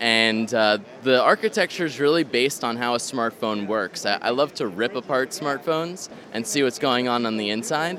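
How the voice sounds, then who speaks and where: A man speaks in a plain, everyday voice at a medium pitch. His pace is moderate and his intonation lively. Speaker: radio product founder. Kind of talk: interview at booth. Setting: convention hall.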